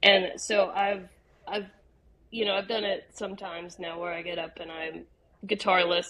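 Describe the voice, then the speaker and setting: A woman with an American accent, bright, sharp tone and moderate pace. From West Virginia, Bridgeport. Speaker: singer-songwriter. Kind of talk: casual interview.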